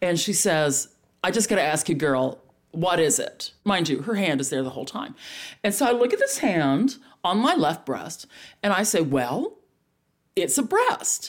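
A woman speaks at a moderate pace in a Texan accent, her voice at a medium pitch. Her pitch swings very widely. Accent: Texan Southern. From Dallas, Texas. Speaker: stand-up comedian.

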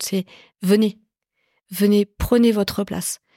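A woman speaks with a dark, mellow tone, recorded very cleanly against a silent background with a dry, close sound and no echo. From Paris southern suburbs, Évry. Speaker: tech company executive. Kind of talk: interview conversation. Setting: in the guest's office.

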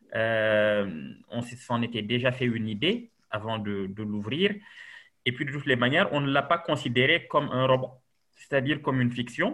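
Medium in pitch, a man talks at a moderate pace with ordinary pitch variation in an unremarkable speaking voice. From Senegal. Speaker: novelist. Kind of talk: interview.

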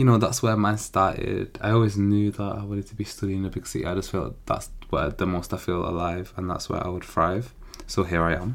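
A man with a Manchester accent, fairly low-pitched, at a moderate pace with fairly even intonation. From Manchester, England. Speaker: law student podcaster. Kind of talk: casual solo monologue.

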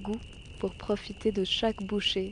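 In a monotone, flat intonation, a woman talks at a moderate speed and a fairly high pitch. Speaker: documentary podcaster. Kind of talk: scripted narration.

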